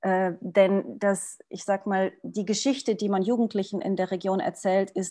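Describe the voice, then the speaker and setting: Over a quiet background, a woman speaks at a medium pitch in a dark, mellow tone. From Portugal. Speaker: social entrepreneur. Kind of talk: panel discussion. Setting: video call.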